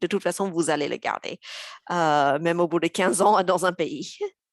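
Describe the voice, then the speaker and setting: Here a woman speaks at a fairly slow pace. The sound is dry and close with no echo, over a quiet background. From US South, Mississippi. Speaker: intercultural and language coach. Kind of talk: webinar panel discussion. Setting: online live webinar. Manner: hesitant, many filler sounds.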